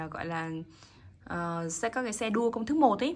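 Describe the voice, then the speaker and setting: A woman's fairly high, sing-song voice, animated and upbeat, at a fairly quick pace with ordinary pitch variation. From Vietnam. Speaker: watch seller. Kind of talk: sales pitch. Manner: animated street-seller patter, upbeat and repetitive, urging viewers to subscribe; emphatic, repeats words for effect, chatty and sing-song. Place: shop. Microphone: phone near.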